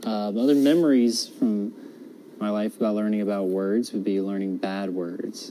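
With an American accent, a man speaks at a moderate pace in a fairly low pitch, his dark, mellow tone carrying ordinary pitch variation. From US South (North Carolina). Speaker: college student. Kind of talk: personal monologue for class assignment. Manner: halting, many fillers.

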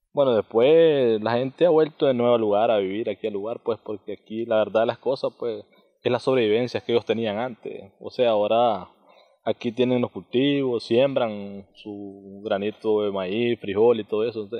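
Against a quiet background, a man speaks at a medium pitch and moderate pace with fairly even intonation. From Nicaragua. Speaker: community member; interviewee. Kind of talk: interview. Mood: calm, earnest. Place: open country. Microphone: handheld.

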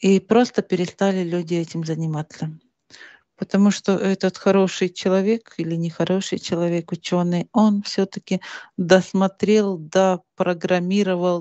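A woman speaks at a moderate pace in a flat monotone. The sound is dry with no echo, over a quiet background. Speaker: interviewee. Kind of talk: interview answer. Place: home room. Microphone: headset.

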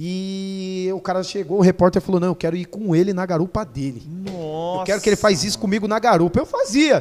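Talking at a fairly quick pace with hardly any pauses, the speaker shows ordinary pitch variation. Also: man, high pitch for a man. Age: 30s. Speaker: motorcycle stunt rider; podcast guest. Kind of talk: casual chat. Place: studio. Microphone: studio mic.

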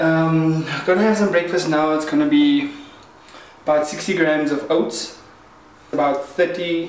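Speaking at a fairly slow pace with fairly even intonation, a man is heard with audible room echo. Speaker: fitness vlogger. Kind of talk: casual vlog chat. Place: kitchen. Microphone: phone near.

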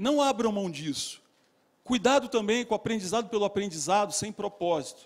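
The pace is moderate with ordinary pitch variation. The background is quiet. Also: man, high pitch for a man. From Rio de Janeiro, Brazil. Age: 50s. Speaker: business executive and lecturer; lecturer. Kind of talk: motivational talk. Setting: stage with audience. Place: hall. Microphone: handheld.

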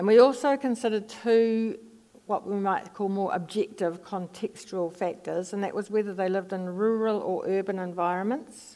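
Her voice has a dark, mellow tone at a medium pitch. The woman speaks with a New Zealand accent. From New Zealand, Palmerston North. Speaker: psychology professor. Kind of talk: lecture; audience Q&A. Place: stage.

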